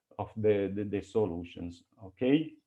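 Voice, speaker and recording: Speaking at a fairly slow pace, a man shows ordinary pitch variation. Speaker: mathematics researcher giving a conference talk. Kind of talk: academic lecture; Q&A discussion. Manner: halting, many repetitions.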